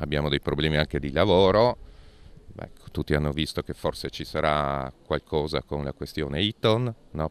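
In a dry sound with no echo, a man speaks with a very deep, low pitch, ordinary pitch variation and vocal fry. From Friuli-Venezia Giulia, Monfalcone area; Friuli-Venezia Giulia. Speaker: politician. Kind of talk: interview. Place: street. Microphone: handheld.

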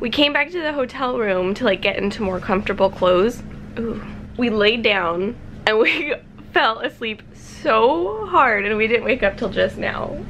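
The speech moves at a moderate pace. Light background noise sits behind it. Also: woman. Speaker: vlogger. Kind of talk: casual vlog chat. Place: home room. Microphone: phone near.

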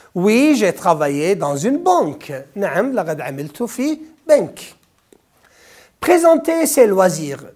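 A man with a Kuwaiti accent speaks at a moderate pace in a high pitch. His pitch swings very widely against a quiet background. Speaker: French teacher. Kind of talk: exam review lesson. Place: studio. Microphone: lapel.

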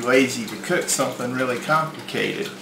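A man's voice against noticeable background noise. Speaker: home cooking show host. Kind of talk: tutorial. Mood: relaxed, friendly. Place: home room.

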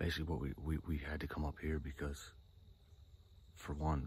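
The man's pitch is very deep and low, with vocal fry and fairly even intonation. The sound is dry, with no echo. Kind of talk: casual vlog chat. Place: forest. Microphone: phone near.

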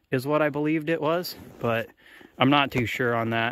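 A man talks at a moderate pace, the sound dry and free of echo. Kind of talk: casual walkthrough commentary. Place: open country. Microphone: phone near.

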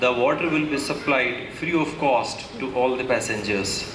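Amid noticeable background noise, a man talks fairly slowly with fairly even intonation. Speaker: event announcer. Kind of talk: formal welcome address at official ceremony. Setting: public event hall with PA system. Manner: formal. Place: hall. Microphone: podium.

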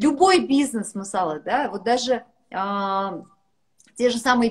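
Her voice somewhat breathy, a woman speaks at a fairly high pitch with lively intonation over a quiet background. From Kazakhstan. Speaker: businesswoman; guest. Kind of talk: casual chat. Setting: video call. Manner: animated. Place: home room. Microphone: video call.

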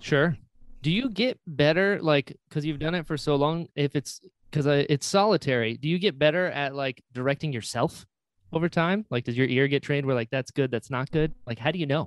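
In a normal speaking voice, a man talks at a moderate pace with a dry, close sound and no echo. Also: fairly high pitch for a man, ordinary pitch variation. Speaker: podcast host. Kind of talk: casual chat. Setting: video call.

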